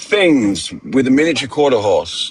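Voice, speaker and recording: With a British accent, a man of fairly high pitch speaks at a fairly slow pace. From Britain. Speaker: podcast host. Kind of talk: comedic storytelling. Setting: livestream.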